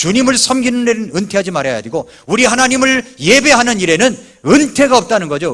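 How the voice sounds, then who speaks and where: A man's pitch rises and falls very widely as he talks at a moderate pace. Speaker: pastor. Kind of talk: sermon. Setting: church.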